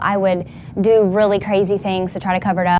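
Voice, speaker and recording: A very fast woman's voice with an American accent, at a medium pitch. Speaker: person who stutters, interviewee. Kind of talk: interview answer, personal testimony. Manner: hesitant, with stuttering, repetitions and blocks.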